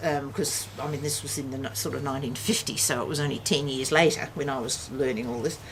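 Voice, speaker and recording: A woman speaks at a very fast pace in a very deep, low voice with ordinary pitch variation. The room echoes audibly, and background noise is noticeable. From Western Australia. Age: 60s. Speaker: family elder recounting history. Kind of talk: casual chat. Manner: halting.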